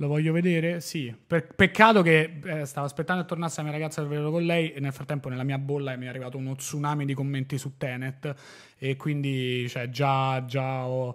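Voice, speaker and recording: A man at a fairly high pitch and fairly quick pace, with fairly even intonation, against a quiet background. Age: 30s. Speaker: podcast host; podcast host or guest. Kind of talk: casual chat. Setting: studio. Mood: relaxed, chatty. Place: studio. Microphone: studio mic.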